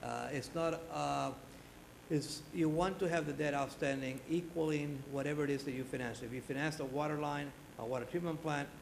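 A man's fairly quick, fairly evenly intoned speech plays against noticeable background noise. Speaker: presenter. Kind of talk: formal presentation. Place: hall. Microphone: podium.

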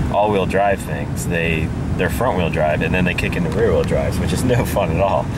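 The speech moves at a moderate pace, with a dry sound with no echo and loud background noise. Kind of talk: casual vlog chat. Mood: relaxed, enthusiastic. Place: car. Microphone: phone near.

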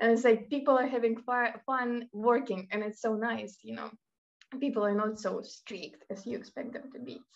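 Over music in the background, a woman talks at a moderate pace in a Russian accent. Her fairly high voice keeps a fairly even intonation while her loudness swings widely. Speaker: university student. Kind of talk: casual chat. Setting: video call.

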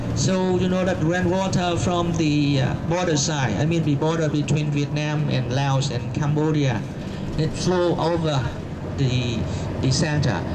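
Loud background noise surrounds a man. He speaks at a fairly slow pace with ordinary pitch variation. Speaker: tour guide. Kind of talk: tour guide commentary. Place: bus. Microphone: camera far.

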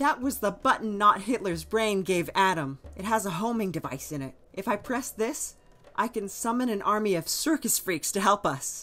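Putting on a whiny character voice, a woman talks at a medium pitch and a moderate pace. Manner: anxious, whiny, easily distracted.

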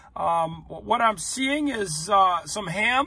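A man speaks in a raised, projected voice with a bright, sharp tone, and the sound is dry with no echo. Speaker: food vlogger. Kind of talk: casual vlog chat. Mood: wry, upbeat. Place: car. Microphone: phone near.

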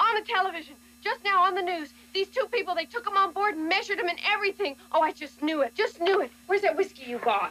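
A woman's put-on character voice, extremely high-pitched, bright and sharp, with lively intonation at a fast pace

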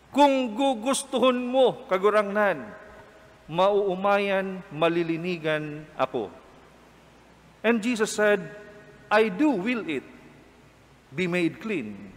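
Speaking very slowly with long, frequent pauses, a man uses lively intonation at a high pitch. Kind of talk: homily at a Mass. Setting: chapel Mass with a congregation. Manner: calm, earnest, formal preaching that switches between English and Bikol; warm, conversational, with rhetorical questions to the congregation. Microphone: podium.

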